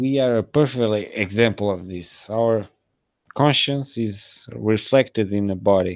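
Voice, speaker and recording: A man with a non-native accent speaks fairly slowly at a fairly low pitch. His pitch varies in an ordinary way against a quiet background. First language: not English. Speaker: video blogger. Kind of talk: monologue video blog.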